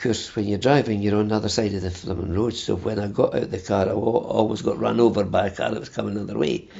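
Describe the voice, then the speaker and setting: A man speaks in a Dundee accent, with vocal fry. His intonation is fairly even. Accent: Scottish (Dundee). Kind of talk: interview. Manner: stammering; halting.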